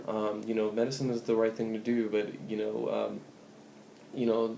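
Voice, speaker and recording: A man's medium-pitched, monotone, flat delivery, with audible room echo and noticeable background noise. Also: moderate pace. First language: Spanish. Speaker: pre-med student vlogger. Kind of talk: advice vlog. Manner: casual, many fillers.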